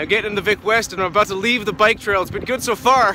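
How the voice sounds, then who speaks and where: A raised, projected voice moves at a fairly quick pace with fairly even intonation, in a dry sound with no echo and light background noise. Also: man. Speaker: radio host cycling. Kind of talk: casual vlog chat. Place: bicycle. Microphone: phone near.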